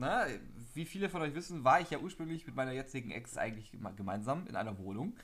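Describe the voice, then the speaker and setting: Here a man talks at a very fast pace. His medium-pitched voice makes very wide pitch swings. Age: young. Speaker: podcast co-host. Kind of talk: casual chat.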